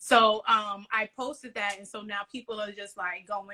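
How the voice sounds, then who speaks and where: With a New York accent, a woman talks in a fairly high pitch and a bright, sharp tone. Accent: Bronx, New York. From New York City, the Bronx. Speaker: podcaster on mental health. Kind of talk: casual interview chat.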